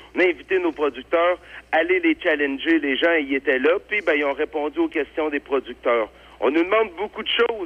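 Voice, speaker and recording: A man speaks at a moderate pace with a fairly high pitch. His pitch varies an ordinary amount. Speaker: farmers' union representative. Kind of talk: interview. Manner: halting.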